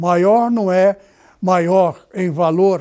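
A very slow man's voice with a dark, mellow tone and fairly even intonation. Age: 80s+. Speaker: pastor. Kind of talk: sermon. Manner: halting.

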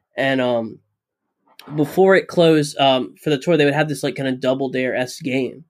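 A man's plain, everyday voice with an American accent, fairly high in pitch, fairly even in intonation, at a fairly quick pace. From Florida, US. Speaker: musician. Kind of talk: casual chat.

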